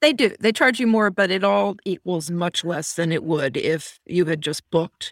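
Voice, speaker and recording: Speaking in a normal speaking voice, a woman talks at a moderate pace with hardly any pauses, a fairly low pitch and lively intonation. The sound is dry and close, with no echo. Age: 50s. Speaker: podcast co-host. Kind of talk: casual chat.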